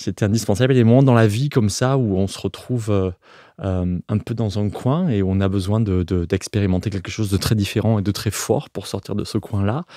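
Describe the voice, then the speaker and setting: A man with a strong Provençal accent speaks at a fairly quick pace, his pitch fairly low and his tone dark and mellow. The sound is dry and close, with no echo. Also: ordinary pitch variation. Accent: Provençal accent, still strong. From Provence, southern France. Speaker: architect. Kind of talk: interview. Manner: halting, many hesitations and repetitions.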